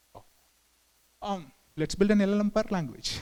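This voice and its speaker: A man with a Tamil accent talks at a moderate pace. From southern India. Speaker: engineering manager, conference speaker. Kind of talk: conference talk. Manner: halting, many fillers.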